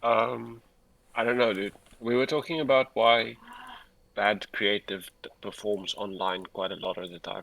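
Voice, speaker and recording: A man's fairly low voice, fairly slow in pace, with ordinary pitch variation and big swings in loudness. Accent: South African. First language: Afrikaans. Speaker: livestream host, advertising creative. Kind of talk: casual livestream chat. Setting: livestream.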